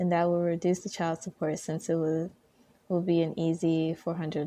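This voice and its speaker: Soft-spoken and calm in tone, a woman talks at a moderate pace. Her pitch is fairly low and her tone is dark and mellow. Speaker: ASMR content creator. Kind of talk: ASMR Reddit story reading. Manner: soft-spoken, calm.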